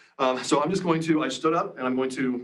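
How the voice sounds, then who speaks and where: The speech moves at a fairly quick pace with ordinary pitch variation. Room echo is audible. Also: man. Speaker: audio technology presenter. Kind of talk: live product demonstration. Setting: conference room on a video call. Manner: loud-voiced.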